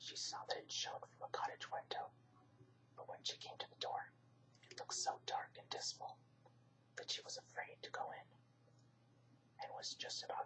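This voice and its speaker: The speaker is whispering. The pace is moderate. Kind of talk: whispered bedtime story reading. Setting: home recording for relaxation channel. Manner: whispered.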